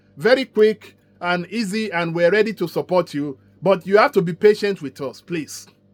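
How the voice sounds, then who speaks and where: With music in the background and a dry, close sound without echo, a man talks in an animated tone at a high pitch, a moderate pace and ordinary pitch variation. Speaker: community organiser. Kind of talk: informational update.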